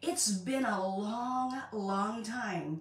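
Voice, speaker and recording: A woman speaks with audible room echo. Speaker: spiritual coach. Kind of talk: casual vlog chat. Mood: warm, empathetic. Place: home room. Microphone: phone near.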